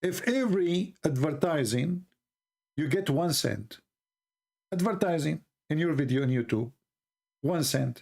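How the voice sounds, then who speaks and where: A man with an Arabic accent speaks at a fairly slow pace and a fairly high pitch, with lively intonation. His loudness stays very even, and he makes long, frequent pauses. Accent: Arab. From Middle East. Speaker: religious debate streamer. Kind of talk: live stream monologue. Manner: sarcastic, joking.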